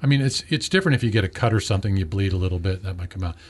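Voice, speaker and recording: The voice sounds somewhat breathy over a quiet background. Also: man. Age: 50s. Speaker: health show host. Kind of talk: health interview.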